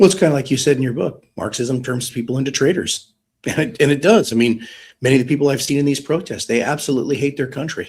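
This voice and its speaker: A very fast, somewhat breathy man's voice with an American accent, fairly high pitch and ordinary pitch variation. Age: 50s. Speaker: retired police detective. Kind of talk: live online discussion. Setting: live audio space / stream.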